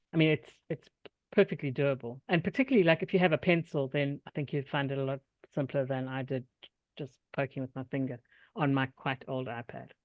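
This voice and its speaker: Someone with a South African accent talks at a fairly quick pace with ordinary pitch variation. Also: woman, very deep, low pitch for a woman. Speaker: workshop presenter, software tutorial teacher. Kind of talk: tutorial; casual chat.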